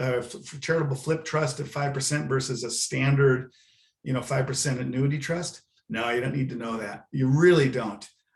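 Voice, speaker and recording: Speaking with an American accent, a man talks at a moderate pace in a fairly high, somewhat breathy voice with fairly even intonation. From Southern California. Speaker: university planned giving director. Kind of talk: webinar presentation. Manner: halting, many fillers.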